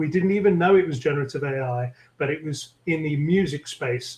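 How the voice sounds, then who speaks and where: Speaking at a fairly slow pace, a man with a British accent has a fairly high pitch and a somewhat breathy sound. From London, England. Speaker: tech executive. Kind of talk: interview conversation.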